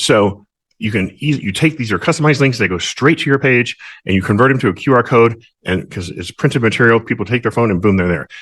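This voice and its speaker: Very fast, lively speech from a man over a quiet background. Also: medium pitch for a man. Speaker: mortgage professional sponsoring real estate agents. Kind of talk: screen-share tutorial. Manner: casual with many fillers and restarts.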